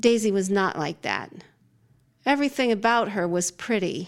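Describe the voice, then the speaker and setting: Heard on a very clean recording with a silent background, a woman speaks at a moderate pace. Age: 50s. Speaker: fiction writer. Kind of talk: interview; reading aloud. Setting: studio. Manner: halting.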